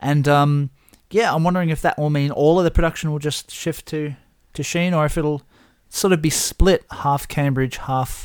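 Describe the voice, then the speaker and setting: A man's normal speaking voice, fairly high in pitch, on a very clean recording with a silent background. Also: moderate pace. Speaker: podcast host. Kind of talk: casual banter over drinks. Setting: indoors in chairs, with whiskey.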